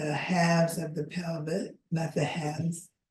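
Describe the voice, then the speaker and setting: The voice has a dark, mellow tone and is somewhat breathy. It moves at a very slow pace. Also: woman. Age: 80s+. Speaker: movement educator. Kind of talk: online class lecture.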